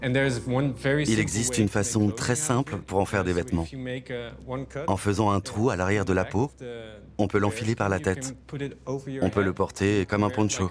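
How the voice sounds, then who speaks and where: A man speaks at a fairly slow pace and a fairly low pitch, with ordinary pitch variation and very even loudness. Noticeable background noise is present. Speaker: voice actor. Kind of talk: documentary voice-over.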